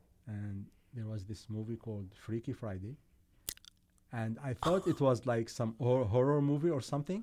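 A man with an Arabic accent speaks at a moderate pace in a medium pitch. His tone is dark and mellow, with ordinary pitch variation. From Syria. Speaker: engineer. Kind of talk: casual chat.

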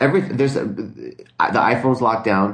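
Talking at a moderate pace in a normal speaking voice, the speaker shows ordinary pitch variation. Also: man. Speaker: podcast co-host. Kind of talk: casual chat. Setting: recording from work. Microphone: distorts when talking loud.

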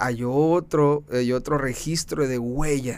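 The speaker is a man. His pitch stays fairly even throughout. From Mexicali, Baja California, Mexico. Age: 30s. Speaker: environmental entrepreneur. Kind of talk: interview.

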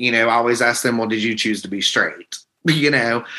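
With ordinary pitch variation, the voice has a bright, sharp tone. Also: man.

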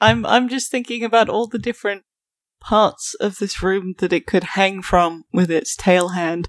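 A woman with a British accent speaks at a moderate pace, her pitch medium and its variation ordinary. The sound is dry and close with no echo, and the recording is very clean over a silent background. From Britain. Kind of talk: casual banter.

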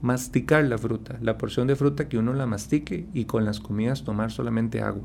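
At a fairly quick pace, a man speaks at a medium pitch with vocal fry. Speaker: endocrinologist doctor. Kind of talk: radio health interview.

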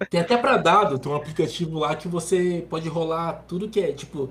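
A man with a high pitch talks at a fairly quick pace over noticeable background noise. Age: 20s. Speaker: gamer and streamer. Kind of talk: casual chat.

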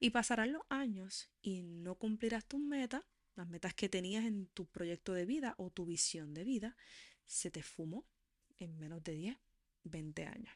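A woman speaks in a plain, everyday voice at medium pitch, fairly slowly and with lively intonation, the sound dry and close with no echo against a quiet background. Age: 40s. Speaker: podcast host. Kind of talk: monologue.

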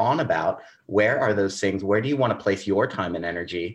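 The speaker has an American accent and talks at a moderate pace with ordinary pitch variation. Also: man. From Southern California. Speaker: podcast host. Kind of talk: casual interview chat.

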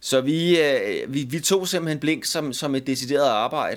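This is an unremarkable speaking voice from a man with a fairly high pitch. He speaks at a fairly slow pace with ordinary pitch variation. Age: 50s. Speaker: musician. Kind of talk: casual chat.

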